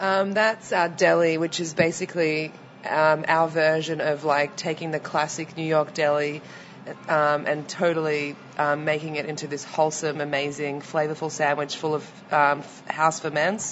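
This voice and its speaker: The speaker has a slight Australian accent and a monotone, flat intonation. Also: woman, very deep, low pitch for a woman, moderate pace. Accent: mild Australian. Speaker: restaurant owner. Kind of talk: casual interview. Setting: restaurant.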